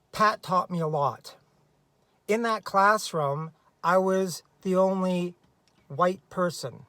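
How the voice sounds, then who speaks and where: A man projects a raised, high-pitched voice with a bright, sharp tone and ordinary pitch variation. He speaks at a very slow pace with long, frequent pauses, on a very clean recording with a silent background. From Canada. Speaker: special education teacher. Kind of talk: casual advice talk to camera.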